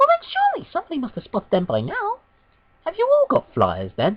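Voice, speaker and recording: A squeaky, put-on character voice at a very fast pace. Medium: machinima.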